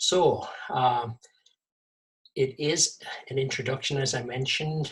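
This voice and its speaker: A man speaks at a medium pitch in a somewhat breathy voice. His pace is fairly slow and his intonation fairly even. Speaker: vegetable gardening presenter. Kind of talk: webinar presentation. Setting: video call. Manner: halting, many fillers.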